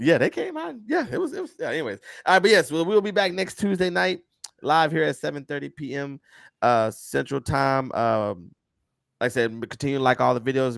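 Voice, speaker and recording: The sound is dry and close, with no echo. A man talks at a fairly quick pace with lively intonation. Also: very clean recording, silent background. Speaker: podcast host. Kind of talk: casual chat. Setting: live stream. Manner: fast.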